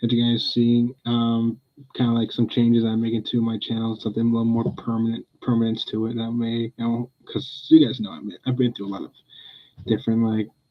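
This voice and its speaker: Soft-spoken, a man talks at a fairly quick pace. His pitch is medium and his intonation is a flat monotone. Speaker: pet livestreamer. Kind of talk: casual chat. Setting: livestream at home.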